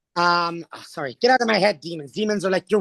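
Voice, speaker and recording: An animated man with a Canadian accent, high-pitched and fairly quick, in a dry, close sound with no echo. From Alberta, Canada. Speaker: drag performer and theatre artist. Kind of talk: casual interview chat, storytelling.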